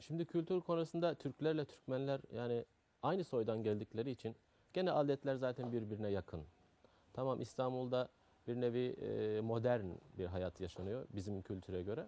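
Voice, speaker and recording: A dark, mellow tone in a Turkmen accent with lively intonation, dry and close with no echo. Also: man, medium pitch for a man, moderate pace. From Afghanistan (Turkmen community). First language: Turkmen (speaking Turkish). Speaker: carpet shop owner. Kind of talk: interview. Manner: halting.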